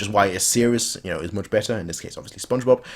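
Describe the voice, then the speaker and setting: A man with a German accent at a very fast pace. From Germany. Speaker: anime reaction youtuber. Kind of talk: casual chat.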